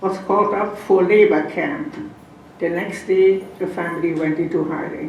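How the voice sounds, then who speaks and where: A woman with a non-native accent speaks slowly-ish at a fairly slow pace and fairly low pitch, amid noticeable background noise and audible room echo. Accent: foreign. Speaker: Holocaust survivor and lecturer. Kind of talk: lecture.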